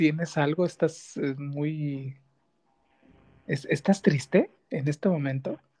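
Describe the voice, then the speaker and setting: A man's fairly high-pitched voice, dark and mellow in tone and somewhat breathy, with fairly even intonation, a very slow pace, and long, frequent pauses. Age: 30s. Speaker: podcast host. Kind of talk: interview.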